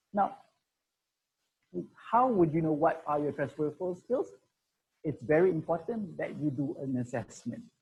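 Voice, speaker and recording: A man speaks with lively intonation at a fairly high pitch. His dark, mellow tone is somewhat breathy. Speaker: career consultant. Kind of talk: webinar presentation. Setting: online webinar. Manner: fast.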